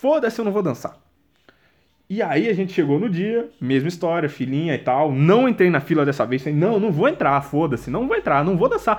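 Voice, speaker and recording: A man speaks very fast in an animated tone, at a high pitch with very wide pitch swings. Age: 20s. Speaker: solo podcaster. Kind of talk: casual monologue. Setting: at home, sitting on the floor.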